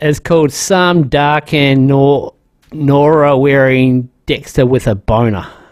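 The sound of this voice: Keeping his intonation fairly even, a man speaks slowly at medium pitch.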